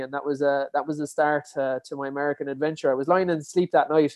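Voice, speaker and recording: A man with a Kerry accent talks at a very fast pace. His pitch sits fairly high. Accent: Kerry Irish. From Ireland, Dingle, County Kerry. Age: 20s. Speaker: endurance athlete and podcaster. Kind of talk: interview.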